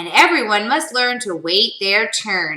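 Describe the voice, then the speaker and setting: A woman puts on a character voice, speaking fairly slowly at a medium pitch. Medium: read story. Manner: calm, instructive.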